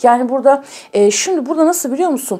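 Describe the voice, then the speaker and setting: Her pitch high for a woman, she speaks with lively intonation. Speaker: tarot reader. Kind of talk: tarot reading to viewers.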